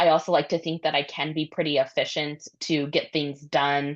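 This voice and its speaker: A woman's very deep, low-pitched voice over a quiet background. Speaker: prosecutor and school board candidate. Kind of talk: interview.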